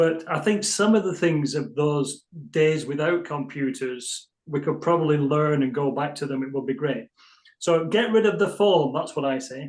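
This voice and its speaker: This man has an English accent and a fairly high pitch. He speaks at a moderate pace with ordinary pitch variation. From England. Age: 60s. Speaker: physiotherapist. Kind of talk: interview.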